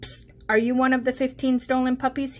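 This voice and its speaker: Putting on a character voice, a woman talks at a very fast pace in a high pitch. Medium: read story. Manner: urgent.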